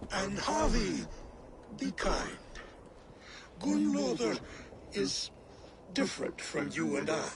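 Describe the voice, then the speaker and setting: A man in a put-on character voice, very slow, with long, frequent pauses and clear background noise. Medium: video game. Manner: booming, commanding.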